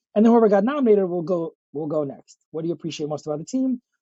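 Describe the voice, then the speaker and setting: A man talks at a very fast pace in an animated tone. His pitch is high. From Soviet Union. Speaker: real estate team leader. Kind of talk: podcast interview.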